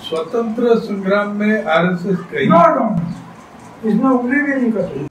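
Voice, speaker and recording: A man speaks at a fairly slow pace with a high pitch and lively intonation. Light background noise and audible room echo are present. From Rajasthan. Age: 80s+. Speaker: freedom fighter. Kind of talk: interview answer. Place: home room.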